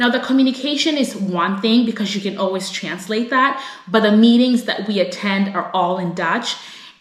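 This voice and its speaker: A woman with an American accent speaks at a moderate pace with hardly any pauses, her fairly high voice animated in tone. Audible room echo and noticeable background noise surround her. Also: ordinary pitch variation. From United States. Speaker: vlogger. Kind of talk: casual vlog talk to camera.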